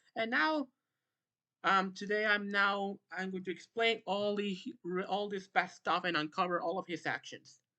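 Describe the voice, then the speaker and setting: A woman with a non-native accent speaks at a moderate pace in a bright, sharp tone. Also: medium pitch for a woman, ordinary pitch variation. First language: not English. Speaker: YouTuber, logo-effects community commentator. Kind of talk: commentary monologue, callout video. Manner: halting, many restarts.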